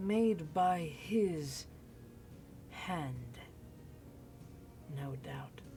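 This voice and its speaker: A woman uses a put-on character voice with a very deep, low pitch and a calm tone. Background noise is clear. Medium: actual play. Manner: calm, cold, formal.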